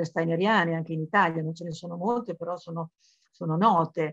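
A woman with an ordinary speaking voice talks at a fairly quick pace and a fairly low pitch. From Emilia, Modena area (born in Florence). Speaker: journalist and writer on esoteric topics. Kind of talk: biographical lecture.

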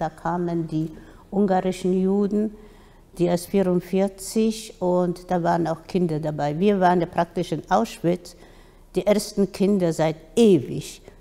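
Speaking at a fairly slow pace, a woman uses fairly even intonation and a dark, mellow tone. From Poland. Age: 80s+. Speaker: Holocaust survivor. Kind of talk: interview answer. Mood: calm, serious. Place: hall. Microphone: studio mic.

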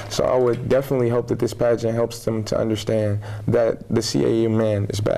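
A man with an American accent, flat monotone intonation and very even loudness. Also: medium pitch for a man, moderate pace. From Michigan, Flint; Michigan. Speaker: college student, pageant contestant. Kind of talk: interview. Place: studio. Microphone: lapel.

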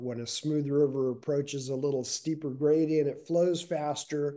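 A man speaks with a dark, mellow tone and fairly even intonation. The background is quiet. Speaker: climate reporter. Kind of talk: interview answer. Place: home room. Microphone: video call.

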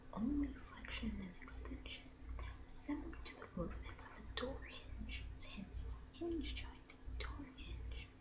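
Soft-spoken and very slow, a woman talks in a very deep, low pitch with monotone, flat intonation. Loud background noise fills the recording. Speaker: ASMR creator. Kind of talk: ASMR anatomy reading. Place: home room. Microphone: studio mic.

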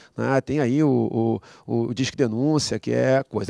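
Against a quiet background, a man's voice comes through with a dark, mellow tone in a dry sound with no echo. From Brazil. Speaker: pastor. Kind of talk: panel discussion. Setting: studio. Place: studio. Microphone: handheld.

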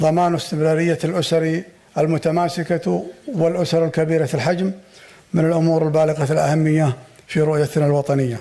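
The pace stays moderate. The speaker is a man. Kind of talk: formal speech. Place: hall. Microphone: podium.

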